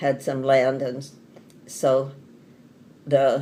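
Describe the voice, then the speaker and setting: A woman is speaking. She has an American accent. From Colorado, US (Lamar, rural). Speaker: elderly mother telling her life story. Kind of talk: family oral-history interview.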